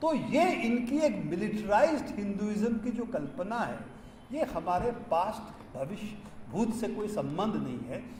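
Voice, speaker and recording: A man with a high voice and lively intonation speaks over noticeable background noise, with audible room echo. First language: not Hindi (speaking Hindi). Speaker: science activist. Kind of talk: public speech. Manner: halting, with fillers.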